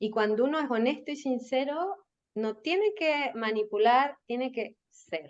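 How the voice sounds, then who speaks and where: A woman speaks with a Chilean accent. Her pitch is high. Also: lively intonation, fairly slow pace. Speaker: marketing and communications professional. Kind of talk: podcast interview.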